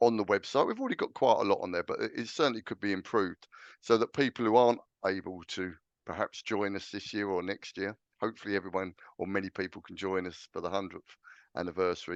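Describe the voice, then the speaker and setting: A man's fairly low voice with an English accent, fairly even in intonation, dry and close with no echo against a quiet background. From England, London. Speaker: clan association chairman. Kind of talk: interview. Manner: hesitant, many fillers.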